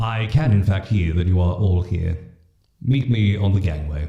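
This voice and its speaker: In a booming, put-on character voice, the speaker goes at a moderate pace with a slight echo. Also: man, very deep, low pitch for a man. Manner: horrifying, commanding.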